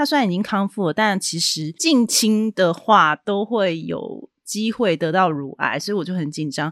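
A woman speaks at a fairly slow pace in a plain, everyday voice, medium in pitch, with lively intonation. The recording is very clean and dry, close with no echo, over a silent background. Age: 40s. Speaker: podcast host, book reviewer. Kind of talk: solo podcast monologue, book review.

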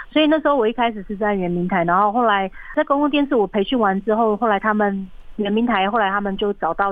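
Fairly quick and fairly high-pitched, a woman's voice comes through. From Taiwan, Atayal community in Taichung mountains. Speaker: documentary director and film school founder. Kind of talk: interview. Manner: hesitant, many fillers.

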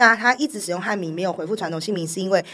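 A woman at a very fast pace, medium in pitch, with lively intonation, on a very clean recording with a silent background. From Taiwan, Taipei. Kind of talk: interview conversation. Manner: laughs often, hearty laugh.

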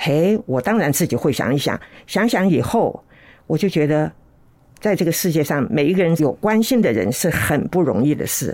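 At a moderate pace, a woman with a fairly low pitch makes very wide pitch swings while keeping her loudness very even, on a very clean recording with a silent background. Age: 80s+. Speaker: host's elderly mother, interview guest. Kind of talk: casual chat.

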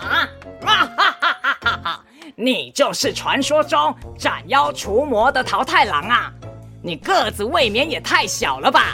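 A high, put-on character voice moves at a fairly slow pace over clear music in the background. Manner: laughing loudly, mocking.

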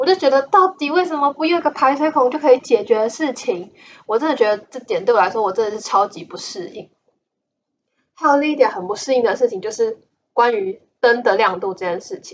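A woman speaks in an animated tone at a high pitch and a fairly quick pace, with very wide pitch swings and big swings in loudness. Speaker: podcast host. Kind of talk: casual solo monologue.

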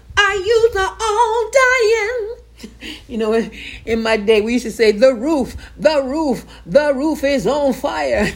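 At a very slow pace, a woman speaks in a high pitch with very wide pitch swings. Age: 60s. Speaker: podcast host and Bible teacher. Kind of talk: casual teaching monologue with preaching. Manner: animated.

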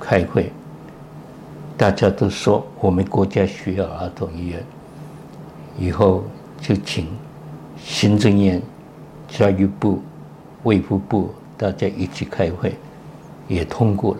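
Over noticeable background noise, a man speaks at a very slow pace with long, frequent pauses, his very deep, low pitch showing ordinary variation. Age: 90s. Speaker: retired pediatric cardiologist, professor. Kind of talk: interview.

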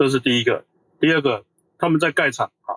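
There is fairly even intonation from a man, heard in a dry, close sound with no echo on a very clean recording with a silent background. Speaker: semiconductor industry engineer. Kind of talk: casual chat.

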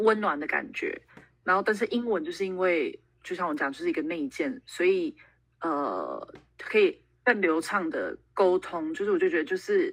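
Her voice fairly high, a woman speaks at a moderate pace with very wide pitch swings. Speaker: traveler and working holiday veteran. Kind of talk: casual interview.

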